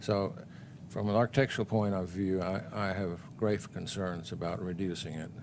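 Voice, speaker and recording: A mumbling man with a very deep, low pitch and fairly even intonation at a moderate pace. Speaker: planning commission member. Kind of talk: public meeting discussion.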